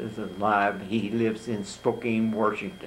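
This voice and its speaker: A man with a Midwestern US accent speaks at a fairly low pitch with fairly even intonation, and audible room echo surrounds him. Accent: US Midwest. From Kansas, Topeka. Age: 90s. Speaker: hall of fame inductee. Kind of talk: interview. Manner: halting.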